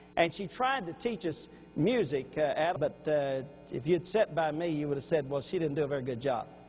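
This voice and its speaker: With lively intonation, a man in a Louisiana accent speaks at a high pitch and a moderate pace. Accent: Louisiana Southern US. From Louisiana, Baton Rouge. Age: 60s. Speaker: preacher. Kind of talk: sermon.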